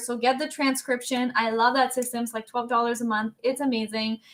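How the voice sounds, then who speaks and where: Her voice raised and projected, a woman speaks in an animated tone with a high pitch and a bright, sharp tone. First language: French. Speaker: workshop host. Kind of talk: live webinar chat.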